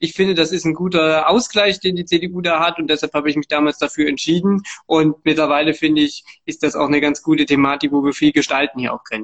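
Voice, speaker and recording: Here a man talks at a very fast pace. His fairly high voice keeps fairly even intonation. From Thuringia, Germany (Erfurt). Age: 20s. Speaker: city councillor. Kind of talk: interview.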